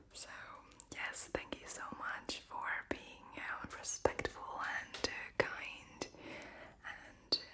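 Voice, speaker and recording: A whispered voice moves at a very slow pace over noticeable background noise. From Latvia. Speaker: ASMR creator. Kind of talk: whispered Q&A. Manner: whispering.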